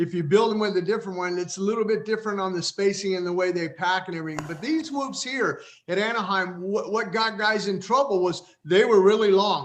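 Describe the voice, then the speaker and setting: Noticeable background noise behind a man's high voice, fairly quick in tempo and ordinary in its pitch movement. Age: 60s. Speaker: retired racer and broadcaster. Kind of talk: casual chat. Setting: live stream.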